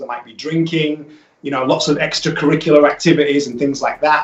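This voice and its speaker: Against noticeable background noise, a man with a British accent speaks at a fairly high pitch with monotone, flat intonation. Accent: UK. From northern England, Leeds. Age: 40s. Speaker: holistic health business owner. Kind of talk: radio interview. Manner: hesitant, many fillers.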